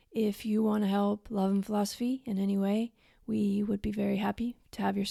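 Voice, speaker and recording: A somewhat breathy, dark and mellow voice at a moderate pace, very clean with a silent background, dry and close with no echo. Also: woman. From US. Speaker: podcast host. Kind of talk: scripted intro; interview.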